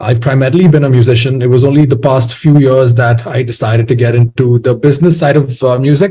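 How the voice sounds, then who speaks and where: A man with a medium pitch speaks at a very fast pace in a dark, mellow tone. His voice is somewhat breathy, with fairly even intonation and very even loudness. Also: hardly any pauses. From India, Bangalore. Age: 20s. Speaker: musician. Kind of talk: interview. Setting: podcast.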